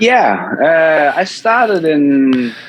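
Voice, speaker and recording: A man speaks in a Danish accent at a fairly high pitch. His pitch swings very widely. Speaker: EV YouTuber. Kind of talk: podcast interview.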